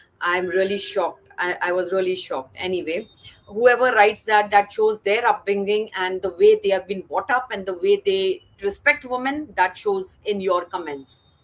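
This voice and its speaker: Noticeable background noise under a woman's voice at a medium pitch. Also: ordinary pitch variation, moderate pace. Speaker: live stream host. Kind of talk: live stream interview.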